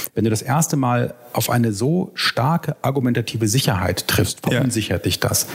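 Over noticeable background noise, a man speaks at a medium pitch with lively intonation and very even loudness. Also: moderate pace. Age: 30s. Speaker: historian and author. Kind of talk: casual chat.

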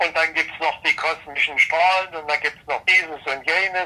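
With a raised, projected voice, a man speaks at a high pitch. His intonation stays fairly even. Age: 70s. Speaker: retired engineer and climate expert. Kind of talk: interview.

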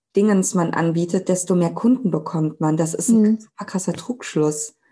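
Against a quiet background, a woman speaks at medium pitch in a dark, mellow, somewhat breathy tone. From Germany, Cologne. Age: 30s. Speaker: Instagram sales coach. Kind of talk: casual interview chat.

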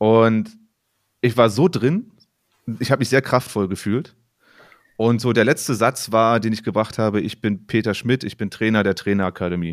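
In a very clean recording with a silent background, a man with a fairly low pitch and ordinary pitch variation speaks at a moderate pace with long, frequent pauses. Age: 30s. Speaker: podcast co-host and volleyball coach. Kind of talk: casual chat.

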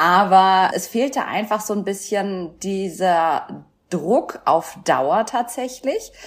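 The woman here speaks at medium pitch with ordinary pitch variation. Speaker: former weight-loss show contestant. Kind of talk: casual interview.

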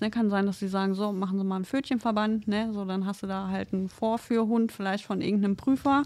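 In a very clean recording with a silent background, a woman with a normal speaking voice talks at a medium pitch with fairly even intonation. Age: 30s. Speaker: trainee veterinary assistant. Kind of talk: casual chat.

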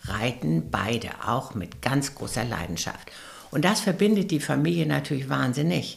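Noticeable background noise surrounds a woman with a very deep, low pitch who speaks at a fairly slow pace. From West Prussia. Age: 70s. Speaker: philanthropist and rider. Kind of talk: interview.

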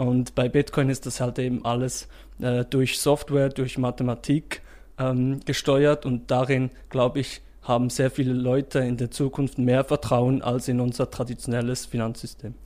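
A man's medium-pitched, dark, mellow voice, flat and monotone at a moderate pace. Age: 20s. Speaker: startup founder. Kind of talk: interview.

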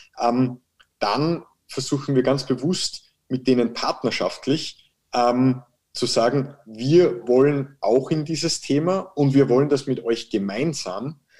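At a very slow pace, the voice has a dark, mellow tone with ordinary pitch variation. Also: man, medium pitch for a man. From Austria (Salzburg). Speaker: managing director of a construction tech firm. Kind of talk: interview. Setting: video call.

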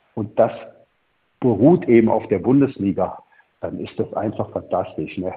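Speaking at moderate pace and medium pitch, a man uses lively intonation broken up by long, frequent pauses. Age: 60s. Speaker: former football club technical director. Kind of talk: interview. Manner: halting, many repetitions.

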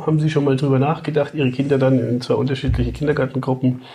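Here is a man with a medium pitch and a dark, mellow tone. Vocal fry runs through his voice. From Upper Franconia, Germany (Kulmbach). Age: 50s. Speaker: father and podcast guest. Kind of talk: casual chat.

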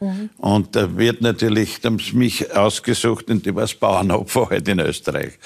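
Here is an ordinary speaking voice from a man at medium pitch. He keeps a moderate pace with ordinary pitch variation. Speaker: former football club president. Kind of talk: talk show interview.

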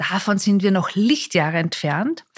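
An ordinary speaking voice, a woman's, medium in pitch at a fairly slow pace. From Austria, Mondsee near Salzburg. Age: 40s. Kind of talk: interview. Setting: bar in Salzburg, in person.

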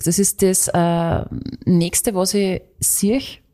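A woman with an Austrian accent, at a very slow pace. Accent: Austrian dialect, stronger than co-host's. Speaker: radio host and podcast co-host. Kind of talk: casual chat.

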